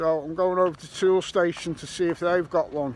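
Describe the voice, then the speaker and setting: A man with a Liverpool accent speaks at a moderate pace. His pitch is high. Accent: Scouse. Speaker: metal detecting YouTuber. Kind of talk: vlog narration. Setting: outdoors.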